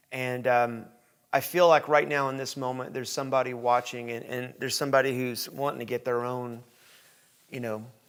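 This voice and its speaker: With a Southern US accent, a man talks at a fairly quick pace and a medium pitch. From Tennessee, US. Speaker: podcast host. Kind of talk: casual interview chat. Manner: hesitant, many fillers.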